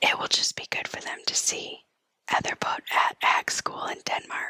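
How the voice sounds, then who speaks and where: Whispering at a moderate pace, the voice has a calm, soothing tone. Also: woman, dry, close sound with no echo. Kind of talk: news reading, whispered ASMR. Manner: whispered, calm, soothing.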